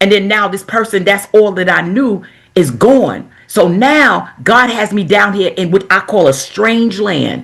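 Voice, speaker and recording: This woman has an American accent and a medium pitch with vocal fry, talking at a moderate pace with lively intonation. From New York (Queens). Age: 70s. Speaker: minister, author. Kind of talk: interview testimony.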